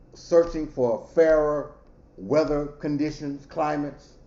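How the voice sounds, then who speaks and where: In a space with audible room echo, a man talks at a fairly slow pace, his fairly high voice held to fairly even intonation. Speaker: professor. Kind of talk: lecture.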